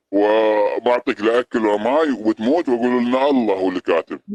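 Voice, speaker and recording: Recorded with a dry, close sound and no echo, a man speaks at a moderate pace in a medium pitch with very even loudness and hardly any pauses. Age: 50s. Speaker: security guard. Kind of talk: heated debate. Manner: animated.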